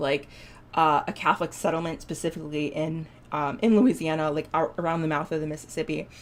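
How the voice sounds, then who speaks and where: A woman with a Buffalo accent and a very deep, low pitch. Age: 20s. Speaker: indie game developer streamer. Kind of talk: casual live stream chat. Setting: live stream. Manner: halting, many fillers.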